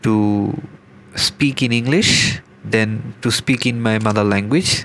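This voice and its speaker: A man speaks at a very slow pace with ordinary pitch variation over noticeable background noise. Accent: Bengali. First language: Bangla. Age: 20s. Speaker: gaming vlogger. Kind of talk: unscripted gameplay commentary. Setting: home recording with microphone. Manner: halting.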